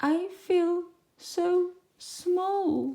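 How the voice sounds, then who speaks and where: A female-sounding put-on character voice pitched extremely high. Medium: read story.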